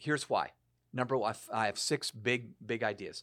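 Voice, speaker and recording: This is a man with an ordinary speaking voice and a medium pitch. He talks at a fairly quick pace with fairly even intonation. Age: 60s. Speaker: author and speaker on leadership and generations. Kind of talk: casual chat.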